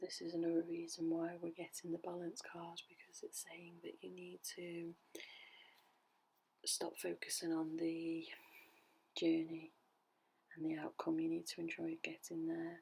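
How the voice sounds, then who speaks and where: A woman whispers in a soothing tone at a fairly slow pace. She takes long, frequent pauses. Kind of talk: ASMR tarot reading. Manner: whispered, soothing.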